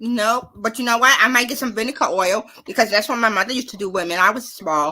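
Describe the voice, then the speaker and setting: Loud and very fast, a woman speaks at a fairly high pitch in a bright, sharp tone with ordinary pitch variation. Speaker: live stream host. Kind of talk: casual chat. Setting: live stream.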